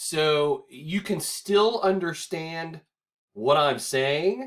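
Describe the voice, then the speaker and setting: With a Southern US accent, a man talks at a very slow pace, his high-pitched voice carrying lively intonation. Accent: southern US drawl. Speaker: teacher recording a lecture video. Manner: joking, conversational.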